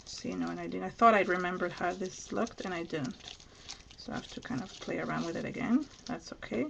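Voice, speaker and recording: Over noticeable background noise, a woman at a medium pitch talks at a very fast pace with very wide pitch swings. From Venezuela. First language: Spanish. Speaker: crafter. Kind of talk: live craft tutorial. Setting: live stream video.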